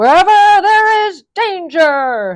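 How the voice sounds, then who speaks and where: A put-on character voice is used here. The pitch sits extremely high. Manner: dramatic, heroic.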